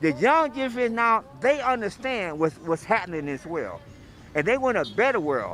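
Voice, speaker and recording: A man's voice at an extremely high pitch, with very wide pitch swings and music playing in the background. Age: 60s. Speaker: interviewee at protest. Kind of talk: street interview.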